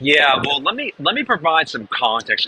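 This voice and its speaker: A man speaks with an American accent and lively intonation. Noticeable background noise can be heard. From New Hampshire, US. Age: 40s. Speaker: real estate marketing trainer. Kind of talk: webinar presentation. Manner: fast.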